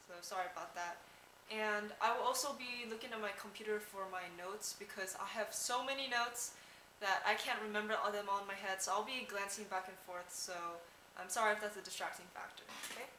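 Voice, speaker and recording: Over noticeable background noise, a soft-spoken woman talks at a fairly quick pace with fairly even intonation. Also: medium pitch for a woman. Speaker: fashion vlogger. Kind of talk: casual talk to camera. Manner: soft-spoken, quiet.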